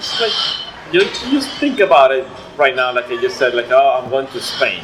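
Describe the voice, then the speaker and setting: A man is talking at a moderate pace. Noticeable background noise runs underneath. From Venezuela. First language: Spanish. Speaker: immigrant interviewee. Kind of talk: casual chat. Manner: halting.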